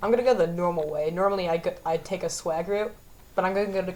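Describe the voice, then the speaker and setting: A woman's relaxed tone over noticeable background noise. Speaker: gaming youtuber. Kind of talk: gameplay commentary. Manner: stammering, self-correcting; casual, relaxed.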